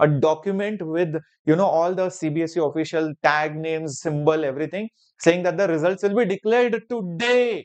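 A man's high voice at a moderate pace, ordinary in pitch variation, against a quiet background. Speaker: online exam teacher. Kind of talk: energetic educational update to students. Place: studio. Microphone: lapel.

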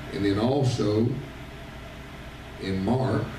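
A man speaks at a very slow pace and fairly low pitch, with ordinary pitch variation. Noticeable background noise and audible room echo are present. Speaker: visiting preacher. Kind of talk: sermon. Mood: warm, joking family anecdote. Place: church.

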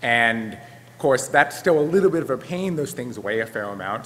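Here a man talks at a fairly quick pace with lively intonation. Light background noise can be heard. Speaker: conference presenter. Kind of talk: lecture. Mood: a little flustered. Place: hall. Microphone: podium.

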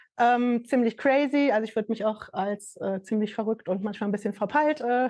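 An unremarkable speaking voice at a moderate pace with ordinary pitch variation, over a quiet background. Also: woman. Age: 50s. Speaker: fashion label founder and NFT project creator; NFT project creator. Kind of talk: casual interview. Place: empty room.

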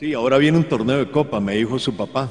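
Pitch varies in an ordinary way as a man moves along at a fairly quick clip. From Costa Rica. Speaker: sports reporter. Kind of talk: interview. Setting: outdoors at a plaza. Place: open country. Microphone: handheld.

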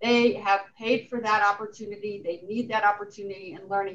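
With an unremarkable speaking voice, a woman talks at a moderate pace and a fairly high pitch. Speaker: college president. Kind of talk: formal meeting. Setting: video call. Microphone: video call.

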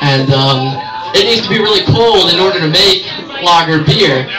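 A man's raised, projected voice amid noticeable background noise. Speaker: stand-up comedian. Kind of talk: stand-up comedy routine. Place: bar. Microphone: pa.

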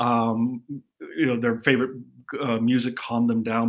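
Here is a normal speaking voice with an American accent. The pace is fairly quick. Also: man. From US Midwest, North Dakota. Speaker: audio company marketing executive. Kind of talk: interview chat. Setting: video call.

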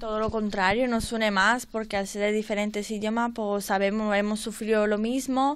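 Here a woman talks at a fairly slow pace. Her pitch is fairly high. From Romania. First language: Romanian (speaking Spanish). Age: young. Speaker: workshop participant. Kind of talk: radio interview. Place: studio.

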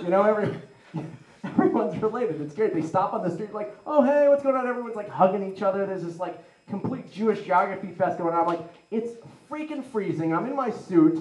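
A man's high-pitched voice at a very fast pace, with audible room echo. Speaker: comedian. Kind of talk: stand-up. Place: hall.

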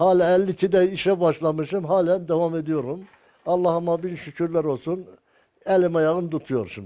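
This man's voice sits high in pitch, with a dark, mellow tone, a moderate pace and fairly even intonation. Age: 80s+. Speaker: carpenter. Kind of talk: interview answer.

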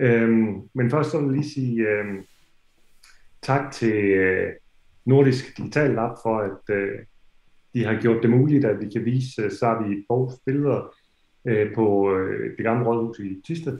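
A man at medium pitch, fairly slow, with ordinary pitch variation, audible room echo and a quiet background. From Denmark. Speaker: festival organizer. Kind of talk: welcome address. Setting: video call. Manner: halting. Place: home room. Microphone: video call.

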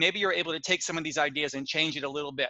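The recording is dry with no echo and has a quiet background. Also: man. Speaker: teacher trainer presenting. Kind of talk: conference presentation. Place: home room. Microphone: headset.

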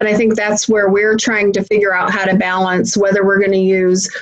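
A woman's medium-pitched voice in a monotone with flat intonation. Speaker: internship training director. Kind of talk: group discussion. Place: office. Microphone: video call.

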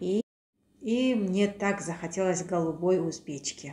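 The voice is somewhat breathy with ordinary pitch variation, heard through light background noise and audible room echo. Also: woman. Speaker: vlogger. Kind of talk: casual vlog chat. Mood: warm, cheerful. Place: home room. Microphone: phone near.

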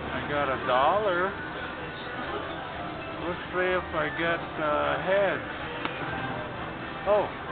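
The speech moves at a very slow pace. Loud music plays in the background. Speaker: slot player vlogger. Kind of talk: casual play-by-play commentary. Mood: hopeful, excited. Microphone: phone near.

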